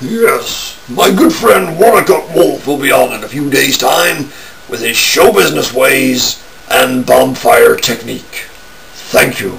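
A man's cartoonish character voice at a fairly slow pace, with clear background noise. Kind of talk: promo. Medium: puppet. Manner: upbeat, showman-like.

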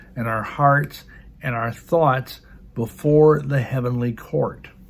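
The man's voice is somewhat breathy. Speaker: religious teacher. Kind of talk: sermon-like teaching. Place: home room. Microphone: phone near.

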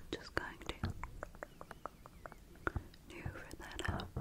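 A woman speaks in a soft-spoken way. Loud background noise runs behind her. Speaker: ASMR creator. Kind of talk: soft ASMR roleplay talk. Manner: soft, close, hushed ASMR voice. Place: home room. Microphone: studio mic.

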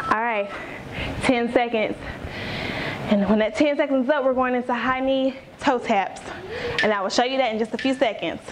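Noticeable background noise sits behind the voice. A woman with a high pitch speaks with fairly even intonation. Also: fairly quick pace. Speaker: fitness instructor. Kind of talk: workout instruction. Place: home room.

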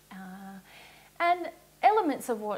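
With an Australian accent, a woman talks with lively intonation. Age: 30s. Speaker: spiritual teacher. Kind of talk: Q&A explanation. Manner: casual, with frequent laughs. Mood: calm, earnest. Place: home room. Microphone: lapel.

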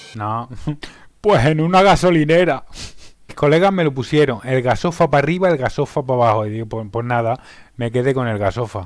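Against a quiet background, a man with a medium-pitched voice talks at a fairly quick pace with lively intonation, and the sound is dry with no echo. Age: 40s. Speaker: streamer and restaurant worker; streamer. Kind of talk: self-introduction video. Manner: a bit stiff, self-conscious. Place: home room. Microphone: headset.

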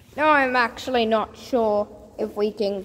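The woman's voice shows ordinary pitch variation. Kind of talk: casual vlog chat. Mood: slightly nervous, amused. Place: tunnel cave. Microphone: phone near.

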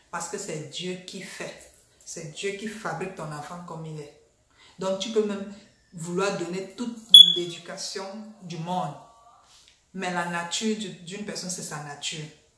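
Audible room echo fills the space as a woman speaks at a fairly slow pace. She leaves long, frequent pauses. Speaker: vlogger. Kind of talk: casual vlog chat. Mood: annoyed, mocking. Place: home room.

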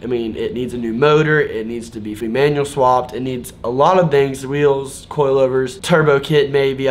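Over music in the background, a man speaks at a medium pitch and fairly slow pace with fairly even intonation. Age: 20s. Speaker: car vlogger / YouTuber. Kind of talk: casual vlog talk to camera. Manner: casual, filler-heavy. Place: home room.

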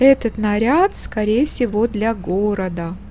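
A woman is talking. Her pace is very slow. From Russia, St. Petersburg. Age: 60s. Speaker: artist and craftswoman. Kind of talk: casual talk to camera. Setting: outdoors. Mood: self-ironic, light.

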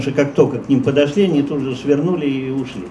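This man's pitch varies in an ordinary way, with light background noise behind him. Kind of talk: interview answer. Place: shop. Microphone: handheld.

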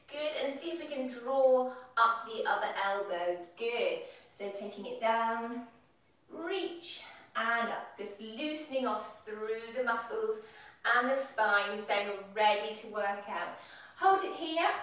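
Amid strong room echo, a woman talks at a very slow pace. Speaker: fitness instructor. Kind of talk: exercise class instruction. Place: kitchen. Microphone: camera far.

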